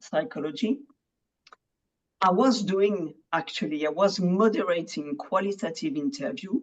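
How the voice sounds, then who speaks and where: With a French accent, a woman speaks at a medium pitch and a fairly slow pace. Her intonation is lively. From France. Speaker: medical translator. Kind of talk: podcast interview.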